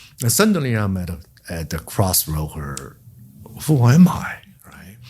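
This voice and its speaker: A very deep, low male voice in a Chinese accent, somewhat breathy, with very wide pitch swings, big swings in loudness and a fairly slow pace. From China. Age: 60s. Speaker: memoir author. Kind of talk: podcast interview. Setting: in-person interview. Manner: halting.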